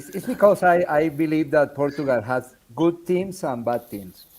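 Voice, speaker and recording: With a Spanish accent, a man speaks at a moderate pace in a fairly high voice with lively intonation. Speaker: show host. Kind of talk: casual video call chat. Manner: halting.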